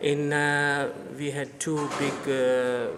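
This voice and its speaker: The recording of a man's voice carries audible room echo alongside noticeable background noise. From India (Gujarati community). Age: 60s. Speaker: temple community member. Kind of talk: interview, oral history. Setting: in a temple. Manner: halting, many fillers.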